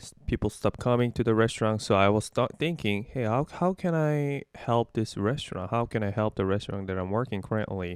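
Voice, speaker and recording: On a very clean recording with a silent background and a dry, close sound with no echo, a man with a Korean accent talks with hardly any pauses and ordinary pitch variation. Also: medium pitch for a man, fairly quick pace. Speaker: digital marketer. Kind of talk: interview. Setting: call. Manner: halting.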